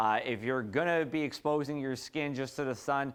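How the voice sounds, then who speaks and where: A man with an American accent and a plain, everyday voice talks at a fairly quick pace in a fairly high pitch. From New Jersey. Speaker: TV meteorologist. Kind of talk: weather forecast.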